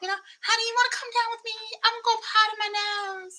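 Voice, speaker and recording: In a put-on character voice with a Southern US accent, a woman talks very fast at an extremely high pitch with monotone, flat intonation. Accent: Southern American. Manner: sweet, exaggerated, affected.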